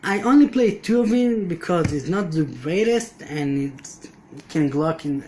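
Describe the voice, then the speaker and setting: A man with a non-native accent speaks at a fairly slow pace. His pitch is high and swings very widely. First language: not English. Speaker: card game player. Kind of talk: deck profile explanation. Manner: halting.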